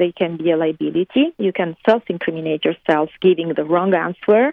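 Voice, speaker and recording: In an Italian accent, a woman talks at a moderate pace. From Italy. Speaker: interview guest, fashion designer. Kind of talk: interview. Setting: remote call from California.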